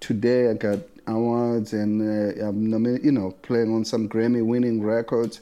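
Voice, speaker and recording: In a South African accent, a man speaks fairly slowly at a medium pitch, his dark, mellow tone delivered with monotone, flat intonation. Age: 60s. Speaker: bass player. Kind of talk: casual interview. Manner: halting, many repetitions and fillers.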